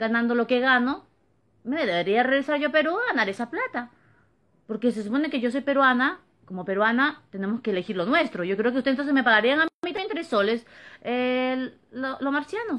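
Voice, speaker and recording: Speaking fairly quickly in an animated tone, a woman with a high pitch is heard against a quiet background. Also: lively intonation. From Peru, Lima (San Juan de Lurigancho); Peru. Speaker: vlogger. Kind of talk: opinion monologue to camera. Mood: indignant, complaining. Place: home room. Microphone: phone near.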